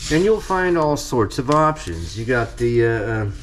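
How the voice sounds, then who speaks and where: A man talks at a fairly slow pace while noticeable background noise carries on. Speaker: farmer and home cook. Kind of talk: cooking tutorial. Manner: speaking quietly at times.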